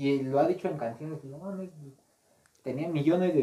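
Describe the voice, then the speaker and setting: A man with a Mexican accent, fairly high-pitched and somewhat breathy, at a moderate pace with ordinary pitch variation. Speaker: podcast co-host and gaming youtuber. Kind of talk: casual chat.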